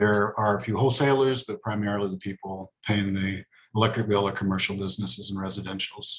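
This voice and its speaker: At a very fast pace, a man talks with fairly low pitch and ordinary pitch variation. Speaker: utility board director. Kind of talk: presentation. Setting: video call. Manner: hesitant, many fillers.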